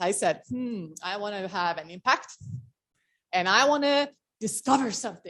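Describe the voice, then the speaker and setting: Woman with an Estonian accent and lively intonation. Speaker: motivational speaker. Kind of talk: talk to a meeting. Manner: casual, filler-heavy.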